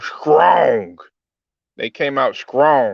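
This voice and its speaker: A man's raspy, put-on character voice, fairly high in pitch. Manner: joking, exaggerated imitation.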